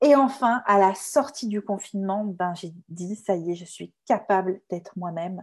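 Somewhat breathy and medium-pitched, a woman speaks at a fairly slow pace with hardly any pauses and big swings in loudness. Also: ordinary pitch variation. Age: 30s. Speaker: communication consultant and trainer. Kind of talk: testimony.

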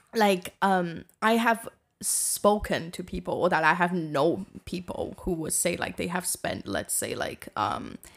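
A woman with vocal fry and a fairly low pitch speaks at a fairly slow pace. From East Asia. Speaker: movie director. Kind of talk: casual chat.

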